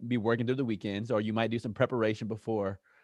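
In a plain, everyday voice, a man speaks with fairly even intonation and fairly low pitch. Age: 30s. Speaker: podcast host. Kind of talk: interview. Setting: studio.

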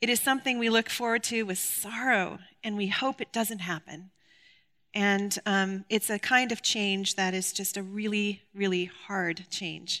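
In a very clean recording with a silent background, a woman speaks at a fairly slow pace in a medium pitch, bright and sharp in tone, with fairly even intonation. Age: 50s. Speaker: Bible study teacher. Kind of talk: Bible teaching.

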